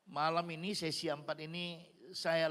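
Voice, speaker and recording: Speaking in a bright, sharp, animated tone, a man uses a fairly high pitch at a fairly slow pace. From Nias, Indonesia. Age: 60s. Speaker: guest pastor and evangelist. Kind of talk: sermon. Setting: church service with congregation. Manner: animated, interactive with congregation.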